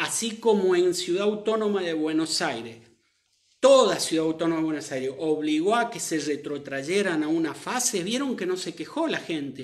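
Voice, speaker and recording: In an animated tone, a man speaks at a moderate pace with very wide pitch swings. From Argentina. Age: 50s. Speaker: doctor; commentator on the pandemic. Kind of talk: live stream commentary. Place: home room. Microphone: phone near.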